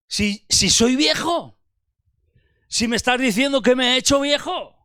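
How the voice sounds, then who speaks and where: A man speaks in a raised, projected voice at an extremely high pitch, with a bright, sharp tone and ordinary pitch variation. His pace is fairly slow, with very even loudness in a very clean recording with a silent background. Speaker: preacher. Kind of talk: sermon.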